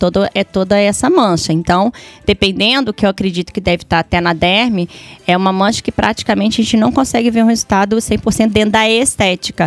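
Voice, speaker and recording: A woman's plain, everyday voice, medium in pitch, at a moderate pace with ordinary pitch variation and a dry, close sound with no echo. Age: 40s. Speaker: beautician. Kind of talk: casual chat.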